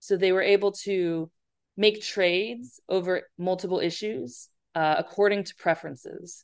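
A woman's normal speaking voice with an American accent, medium in pitch with ordinary pitch variation, at a moderate pace over a quiet background. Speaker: professor. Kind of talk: interview.

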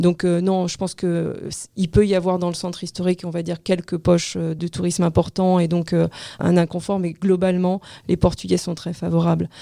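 A woman speaks at a moderate pace in a dark, mellow tone with a fairly low pitch. Her intonation is monotone and flat. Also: very clean recording, silent background. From France. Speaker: real estate agency director. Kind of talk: interview. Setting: studio.

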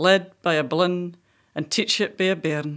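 In a Scottish accent, a woman speaks at medium pitch and a fairly slow pace in a very clean recording with a silent background. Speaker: poet and co-host. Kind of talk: casual interview. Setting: studio.

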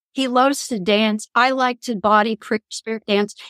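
In a normal speaking voice, a woman talks at a moderate pace with a fairly high pitch, the sound dry and close with no echo. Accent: American. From Kansas. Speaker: spiritual counselor and author. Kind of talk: interview.

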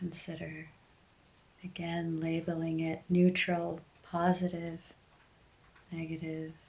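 A woman speaks very slowly with long, frequent pauses, in a soothing, calm tone that is somewhat breathy. Her fairly low pitch stays monotone, with flat intonation. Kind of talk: guided meditation. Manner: slow, calm and gentle, with long pauses between instructions; soft-spoken and soothing.

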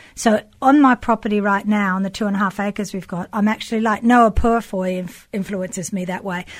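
With a normal speaking voice at medium pitch, a woman talks at a fairly quick pace with hardly any pauses and fairly even intonation, in a very clean recording with a silent background. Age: 50s. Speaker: sculptor. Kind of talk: casual chat.

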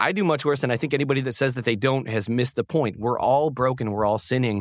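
Here a man with a normal speaking voice speaks at medium pitch with an American accent. His pitch varies in an ordinary way, and the recording is very clean with a silent background. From Syracuse, New York, US. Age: 30s. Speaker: voice-over artist. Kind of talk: interview testimony.

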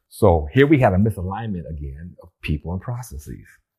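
Speaking at a moderate pace with an American accent, a man has a dark, mellow, somewhat breathy tone. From US Pacific Northwest (Bremerton, Washington). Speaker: retired rocket scientist and retirement coach. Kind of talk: interview podcast. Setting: studio.

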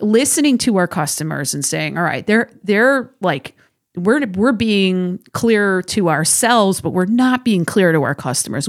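On a very clean recording with a silent background, a woman with an unremarkable speaking voice talks at a medium pitch and moderate pace with lively intonation. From Massachusetts, South Shore. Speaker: firearms industry marketing director and instructor. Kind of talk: casual interview. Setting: studio.

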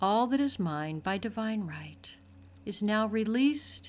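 In a very clean recording with a silent background, a woman of medium pitch talks at a fairly slow pace in a somewhat breathy voice. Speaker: podcast host and meditation guide. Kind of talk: guided meditation. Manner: slow, calm, soothing, gently paced with long pauses; soft-spoken, warm and reassuring.

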